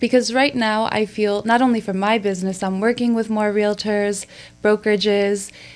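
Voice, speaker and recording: On a very clean recording with a silent background, a woman with an American accent and an unremarkable speaking voice talks at a moderate pace in a fairly high pitch. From Chicago, US Midwest. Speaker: podcast co-host, marketing and branding. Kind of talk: casual podcast interview.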